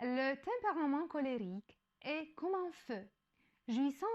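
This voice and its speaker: Lively in intonation, a woman with a non-native accent speaks at a high pitch and a fairly slow pace. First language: not French (speaking French). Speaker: educational YouTuber. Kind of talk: explanatory talk. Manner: halting, with self-corrections.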